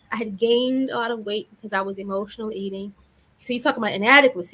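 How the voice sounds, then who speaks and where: The woman's pitch is fairly high. She talks very fast. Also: ordinary pitch variation. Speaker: therapist and confidence coach. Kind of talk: interview.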